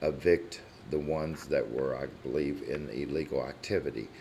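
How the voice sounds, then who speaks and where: A man speaks with a very deep, low pitch and vocal fry, and the room echo is audible. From Kentucky, La Grange area. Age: 60s. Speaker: resident speaking at public comment. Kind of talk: public comment at council meeting. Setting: city council meeting room.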